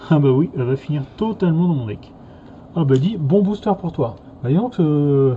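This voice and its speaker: A somewhat breathy man's voice with a slight Norman accent, a fairly high pitch and a moderate pace. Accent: slight Normandy. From Normandy, France. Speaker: card game youtuber. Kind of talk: casual chat.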